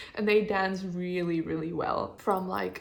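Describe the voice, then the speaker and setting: Noticeable background noise sits behind a woman talking. She has a fairly low pitch and a moderate pace. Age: 20s. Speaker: designer. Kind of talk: casual talk to camera. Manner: chatty, upbeat.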